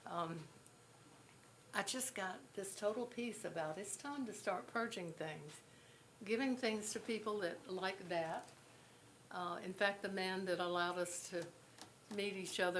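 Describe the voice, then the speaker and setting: Long, frequent pauses break up the speech, which has audible room echo and noticeable background noise. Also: woman. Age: 80s+. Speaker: pastor. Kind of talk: speech at event. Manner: halting.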